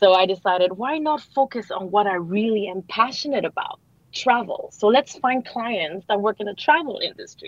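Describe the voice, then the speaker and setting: Hardly pausing, a woman talks at a moderate pace with lively intonation. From Canada, Montreal. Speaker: marketing consultant. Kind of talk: radio interview. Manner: animated.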